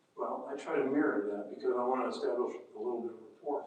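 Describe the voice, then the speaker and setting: In an American accent, a man speaks with audible room echo. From Indiana, US Midwest. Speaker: mediator. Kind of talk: seminar talk. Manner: soft-spoken.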